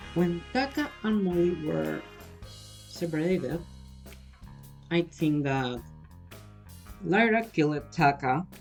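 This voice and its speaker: With music in the background, a woman with a non-native accent speaks at a very slow pace, leaving long, frequent pauses. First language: not English. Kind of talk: casual fan theory talk. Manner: hesitant, uncertain.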